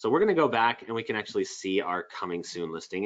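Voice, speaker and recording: A man talks fairly quickly in vocal fry, his pitch swinging very widely. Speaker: software trainer. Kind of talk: webinar tutorial. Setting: online webinar. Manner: fast.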